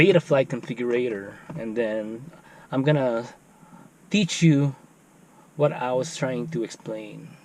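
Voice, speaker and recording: A man with a Filipino accent at a medium pitch, ordinary pitch variation and a fairly slow pace, broken by long, frequent pauses. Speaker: FPV drone hobbyist YouTuber. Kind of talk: tutorial.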